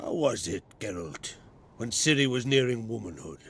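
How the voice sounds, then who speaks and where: Using a raspy, put-on character voice at a medium pitch, a man speaks at a moderate pace with very wide pitch swings. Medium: video game. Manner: measured, gruff, plainspoken.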